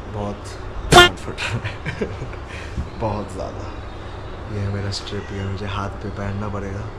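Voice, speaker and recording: Over loud background noise, a man talks at a very slow pace. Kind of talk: casual vlog chat. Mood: nervous but light-hearted. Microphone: phone near.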